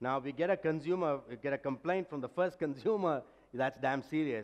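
A man at a fairly high pitch, with ordinary pitch variation and a fairly quick pace

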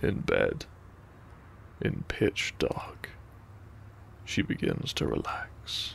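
A man at a slow pace, with vocal fry

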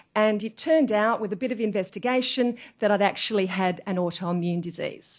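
A woman talks at a fairly quick pace in a normal speaking voice, her pitch medium with ordinary pitch variation. The background is quiet. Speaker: performance coach and speaker. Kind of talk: motivational talk. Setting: stage with audience.

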